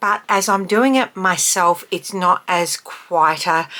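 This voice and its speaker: At a very slow pace, a woman speaks with a fairly low pitch and fairly even intonation. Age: 50s. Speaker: beauty vlogger. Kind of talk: casual talk to camera tutorial.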